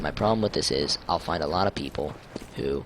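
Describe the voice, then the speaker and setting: The voice is quiet, with lively intonation and a fairly quick pace. Noticeable background noise runs underneath. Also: man. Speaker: gaming YouTuber. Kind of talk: gameplay tutorial. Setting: home, late at night. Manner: hushed, keeping voice down late at night.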